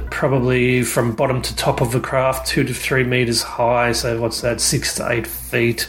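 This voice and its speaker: With an Australian accent, a man talks at a moderate pace with hardly any pauses over noticeable background noise. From Australia, outskirts of Sydney. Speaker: UFO witness. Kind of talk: recorded testimony. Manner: halting, many ums.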